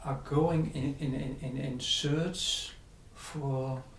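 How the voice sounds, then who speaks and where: Someone with a Dutch accent speaks at a very slow pace over noticeable background noise. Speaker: spiritual teacher. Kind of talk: interview. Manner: halting.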